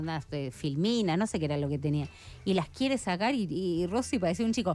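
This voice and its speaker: A woman at a fairly quick pace, lively intonation, dry sound with no echo. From Argentina. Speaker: radio host. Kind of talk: radio interview. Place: studio. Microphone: studio mic.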